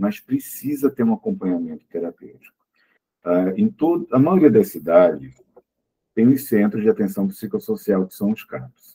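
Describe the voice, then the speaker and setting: With a dry, close sound and no echo, a man talks at a moderate pace with big swings in loudness. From Pernambuco, Brazil (born in Olinda). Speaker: psychologist and lecturer. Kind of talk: talk with audience questions. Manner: hesitant, many fillers.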